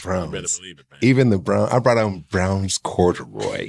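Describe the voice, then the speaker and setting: Speaking at a fairly quick pace in an unremarkable speaking voice, a man with a fairly low pitch shows ordinary pitch variation and big swings in loudness. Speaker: podcast guest.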